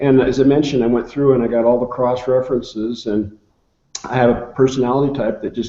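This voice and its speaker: This man talks at a very fast pace in a medium pitch. His intonation stays fairly even. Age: 60s. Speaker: nutrition researcher. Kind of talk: interview. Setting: video call.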